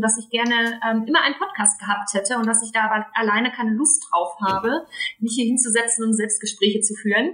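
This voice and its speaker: A woman's fairly high voice at a very fast pace, over noticeable background noise. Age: 20s. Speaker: podcast co-host, marketing expert. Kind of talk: casual chat.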